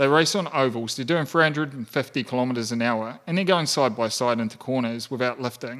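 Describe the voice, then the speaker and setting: Speaking at a fairly quick pace with hardly any pauses, this voice carries ordinary pitch variation and a New Zealand accent. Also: man, medium pitch for a man. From rural New Zealand. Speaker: podcast guest, entrepreneur. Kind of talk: casual chat.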